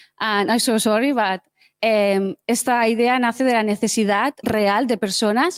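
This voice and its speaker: The speech comes at a fairly slow pace with ordinary pitch variation. It is a very clean recording with a silent background and a dry, close sound with no echo. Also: woman. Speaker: hackathon participant presenting a project. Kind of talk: project demo pitch. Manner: hesitant, with many fillers.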